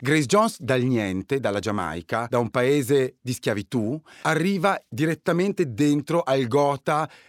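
A man's normal speaking voice at medium pitch with lively intonation, dry and close with no echo, on a very clean recording with a silent background. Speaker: writer and DJ. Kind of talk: casual chat.

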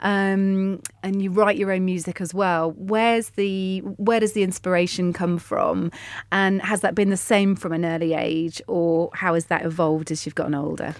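At a moderate pace and hardly pausing, a woman of medium pitch uses an ordinary speaking voice with fairly even intonation. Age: 40s. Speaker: football podcast host. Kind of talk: casual chat.

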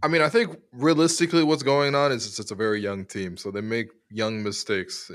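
The man has a normal speaking voice, talking at a moderate speed with ordinary pitch movement, the recording very clean and the background silent. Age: 20s. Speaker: sports radio host. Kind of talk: casual chat.

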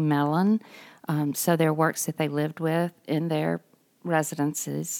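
A woman's very deep, low voice, fairly slow, in a very clean recording with a silent background and a dry, close sound with no echo. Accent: Mississippi. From Mississippi (Greenville). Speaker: art museum director. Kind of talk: interview.

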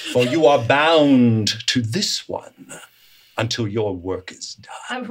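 Putting on a character voice, a man talks very slowly at a medium pitch. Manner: formal, solemn.

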